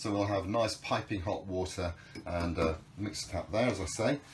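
A man talks at a moderate pace, sounding somewhat breathy. Light background noise can be heard. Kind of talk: guided tour explanation. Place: boat. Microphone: camera far.

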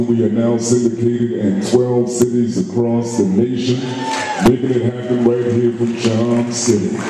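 A man with a medium-pitched voice speaks at a fairly slow pace, with strong room echo and noticeable background noise. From United States. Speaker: emcee and radio host. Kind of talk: live event emcee. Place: stage.

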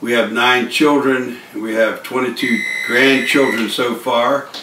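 Recorded with light background noise and audible room echo, a man speaks. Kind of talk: testimony talk. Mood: earnest, grateful. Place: home room. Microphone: camera far.

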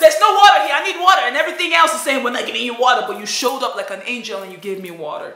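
Speaking at a very fast pace with hardly any pauses, a woman uses a raised, projected, high-pitched voice with very wide pitch swings and big swings in loudness, with audible room echo. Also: quiet background. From Nigeria. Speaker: vlogger. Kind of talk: personal vlog testimony. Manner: animated. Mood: emotional, grateful. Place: home room. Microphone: phone near.

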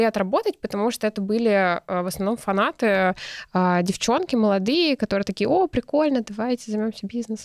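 The intonation is lively and the pace moderate. The background is quiet, and the sound is dry with no echo. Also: woman. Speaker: entrepreneur, clothing brand founder; podcast guest. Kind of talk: casual interview. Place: studio. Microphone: studio mic.

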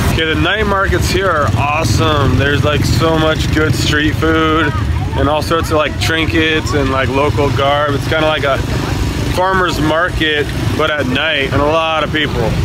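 Loud noise fills the background. The pitch rises and falls in an ordinary way. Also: man, moderate pace, dry sound with no echo. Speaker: travel vlogger. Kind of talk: casual vlog chat. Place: market. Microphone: phone near.

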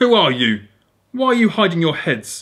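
A put-on character voice at a moderate pace, its pitch swinging very widely up and down. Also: man. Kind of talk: story reading aloud. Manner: commanding, menacing.

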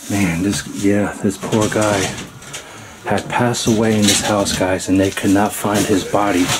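Loud background noise runs beneath a man who talks fairly slowly. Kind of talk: casual vlog chat. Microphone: phone near.

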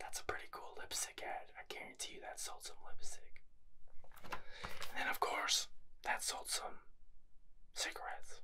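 A soft-spoken whisper at a fairly slow pace, with long, frequent pauses and noticeable background noise. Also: man. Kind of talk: casual vlog chat. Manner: soft ASMR whisper.

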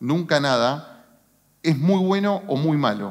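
A man with an unremarkable speaking voice, fairly high in pitch, uses lively intonation against a quiet background. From Argentina, San Nicolás (Buenos Aires province); Buenos Aires province, Argentina. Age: 40s. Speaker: business executive; speaker. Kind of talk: motivational talk. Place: stage. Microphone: headset.

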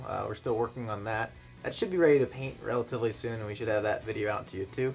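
Behind the man's voice, music plays faintly. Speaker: car hobby vlogger. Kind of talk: casual vlog chat. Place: home room. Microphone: phone near.

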